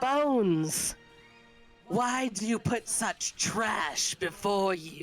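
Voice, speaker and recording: A woman's put-on character voice, growling at medium pitch with very wide pitch swings and a very slow pace, over clear music in the background. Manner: mocking, contemptuous.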